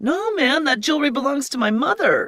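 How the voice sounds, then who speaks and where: The pace is fairly quick. A put-on character voice pitched high carries it. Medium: read story.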